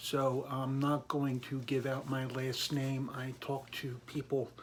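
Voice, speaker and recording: The voice is somewhat breathy and carries an American accent. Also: man. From Philadelphia area and Virginia, US. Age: 50s. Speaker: government employee sharing personal political story. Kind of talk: personal testimony monologue. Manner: hesitant, many fillers.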